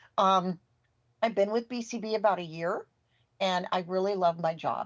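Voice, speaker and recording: Using ordinary pitch variation, a woman with an American accent speaks in a fairly low pitch. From US West Coast, California Bay Area. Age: 60s. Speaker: assistive technology instructor. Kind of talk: podcast interview.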